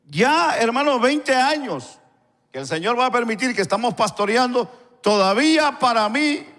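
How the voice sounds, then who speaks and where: A man's extremely high voice with very wide pitch swings. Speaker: pastor. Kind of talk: sermon. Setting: church. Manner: stutter; halting.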